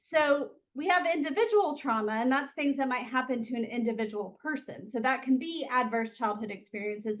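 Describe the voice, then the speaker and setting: This woman talks with an Alabama accent. Her pace is fairly quick. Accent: Alabama Southern. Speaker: occupational therapist. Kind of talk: interview.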